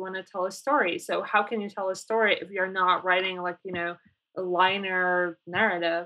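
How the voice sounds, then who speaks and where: With a Polish accent, a woman speaks in a monotone, flat intonation. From Poland. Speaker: designer and developer. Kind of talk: interview.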